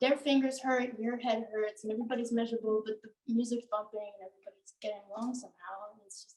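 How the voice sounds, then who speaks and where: Quiet and very fast with hardly any pauses, a woman speaks at a fairly high pitch with fairly even intonation and big swings in loudness. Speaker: audience member. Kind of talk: Q&A discussion.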